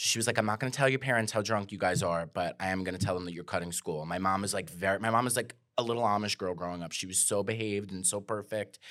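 A man with a New York accent talks at a very fast pace and a fairly low pitch, with ordinary pitch variation. The recording is very clean, with a silent background. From Staten Island, New York. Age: 30s. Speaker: comedian. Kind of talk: casual chat.

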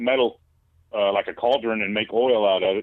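This man speaks with a Southern US accent. His pitch is medium. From US South. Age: 30s. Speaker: caller. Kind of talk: casual chat. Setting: phone call.

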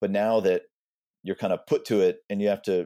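A man speaks in a Texan accent. The very clean recording has a silent background and a dry, close sound with no echo. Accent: Texan American. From Texas, Austin. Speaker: English professor and author. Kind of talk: interview.

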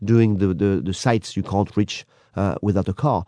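A man with a French accent talks at a moderate pace. The sound is dry and close with no echo, over a quiet background. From France. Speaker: tour guide. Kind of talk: radio interview.

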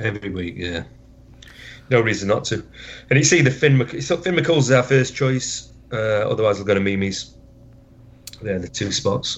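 With a Yorkshire accent, a man speaks at a medium pitch in a somewhat breathy voice. His intonation is lively, his pace moderate, and his pauses long and frequent. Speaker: football fan. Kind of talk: interview.

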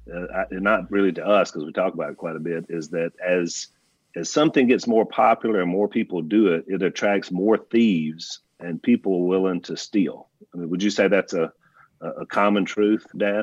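Recorded dry and close with no echo over a quiet background, a man with a Louisiana accent speaks at a moderate pace in a very deep, low pitch with ordinary pitch variation. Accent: Louisiana Southern. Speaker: podcast co-host and pastor. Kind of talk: casual chat.

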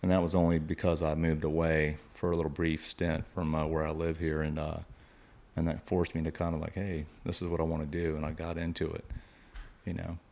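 A man with an American accent speaks at a fairly quick pace. His very deep, low voice stays monotone and flat. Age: 40s. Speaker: fishing guide. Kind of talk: casual interview. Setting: home studio.

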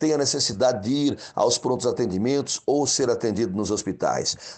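A man with an unremarkable speaking voice at a medium pitch. His intonation is lively, and the background is quiet. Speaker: mayoral candidate, community leader. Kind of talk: campaign speech.

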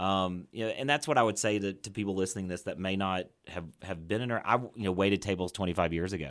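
The recording is very clean, with a silent background. A man with a plain, everyday voice speaks at a fairly low pitch with ordinary pitch variation. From Fort Worth, Texas. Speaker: restaurant owner. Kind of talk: interview.

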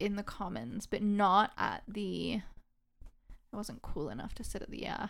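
In a General American accent, a woman whispers. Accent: general American, dropped her British. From England. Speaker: guest. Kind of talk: casual chat.

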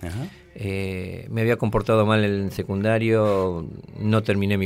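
A man with a fairly low pitch speaks in an ordinary speaking voice, his intonation fairly even. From Argentina, Tucumán. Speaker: war veteran. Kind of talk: testimony.

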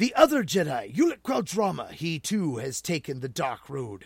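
A man talks fairly slowly in a put-on character voice. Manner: menacing, then shouting in anger.

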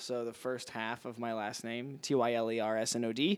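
Using an American accent, a man talks at a fairly slow pace in a bright, sharp tone. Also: very clean recording, silent background. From Missouri. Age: 20s. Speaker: comedian. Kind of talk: casual chat.

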